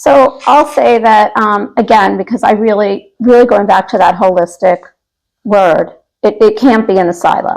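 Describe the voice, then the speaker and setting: A woman with an ordinary speaking voice, fairly high in pitch, at a moderate pace. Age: 60s. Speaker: elder care manager. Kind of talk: interview.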